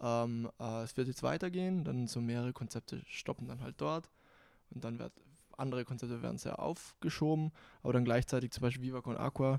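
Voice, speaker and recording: A man talks at a fairly quick pace in a medium pitch with ordinary pitch variation. The recording is very clean with a silent background and a dry, close sound with no echo. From South Tyrol, Bozen. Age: young. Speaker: content creator. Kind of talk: casual chat. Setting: studio.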